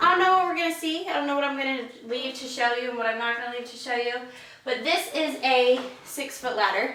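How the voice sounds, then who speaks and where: Over noticeable background noise and audible room echo, a woman with a high pitch speaks in a raised, projected voice at a fairly quick pace, her loudness swinging widely and her pitch varying in an ordinary way. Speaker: home decor vlogger. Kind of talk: casual tutorial. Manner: casual with filler ums.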